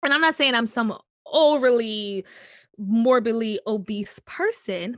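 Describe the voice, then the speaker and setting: A woman with a fairly high pitch speaks at a very slow pace with ordinary pitch variation. The recording is very clean with a silent background, and the sound is dry and close with no echo. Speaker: musical theatre actor. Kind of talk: interview. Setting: podcast.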